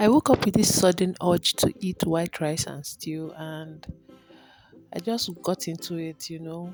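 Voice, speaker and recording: Over music in the background, a woman whispers at a fairly slow pace with a Nigerian accent. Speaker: cooking vlogger. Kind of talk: voiceover narration. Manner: whispering; casual.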